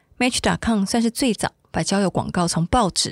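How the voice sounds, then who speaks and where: Somewhat breathy and pitched in the medium range, a woman's voice comes through dry and close with no echo on a very clean recording with a silent background. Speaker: podcast host and reporter. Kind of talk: scripted narration.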